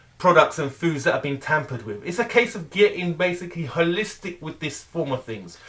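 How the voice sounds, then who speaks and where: A man talks at a fairly quick pace with hardly any pauses, his high voice animated, with lively intonation and big swings in loudness. Noticeable background noise runs underneath. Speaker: weight loss vlogger. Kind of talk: motivational rant.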